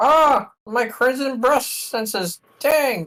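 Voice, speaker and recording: A put-on character voice, fairly high in pitch, at a very slow pace. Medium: game stream. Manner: grandiose, archaic, overdramatic.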